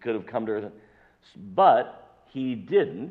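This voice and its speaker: Loud and very slow, the voice carries vocal fry and very wide pitch swings. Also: man. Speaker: pastor. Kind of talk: sermon. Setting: church.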